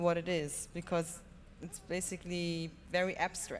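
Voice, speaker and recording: A woman with a German accent and a fairly low pitch speaks at a moderate pace. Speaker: film producer. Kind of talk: panel discussion. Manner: halting.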